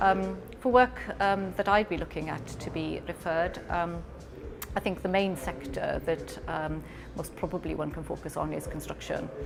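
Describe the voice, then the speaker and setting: A woman with a Welsh accent, calm in tone, at a moderate pace with music in the background. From Wales. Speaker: lawyer. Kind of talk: interview talk. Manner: hesitant, many ums.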